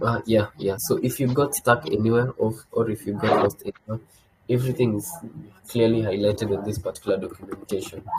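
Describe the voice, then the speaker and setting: Over noticeable background noise, a man talks at a fairly quick pace, his medium-pitched voice keeping a fairly even intonation. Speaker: developer relations presenter. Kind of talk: technical tutorial. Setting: video call. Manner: halting, many fillers.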